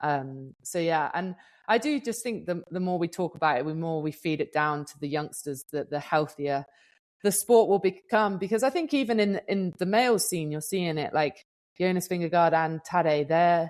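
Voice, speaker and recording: This woman speaks with a British accent over a quiet background. Her fairly low pitch carries lively intonation at a moderate pace. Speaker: professional gravel racer and podcast co-host. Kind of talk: podcast interview. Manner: casual, chatty with fillers.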